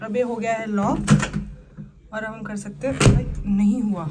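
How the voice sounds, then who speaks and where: Both noticeable background noise and audible room echo can be heard in the recording. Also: woman. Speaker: travel vlogger. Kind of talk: travel vlog.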